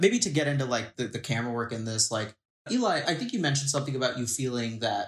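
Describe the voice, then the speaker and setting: A man speaks very fast in a medium pitch, his voice somewhat breathy. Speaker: film podcast guest. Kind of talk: casual chat.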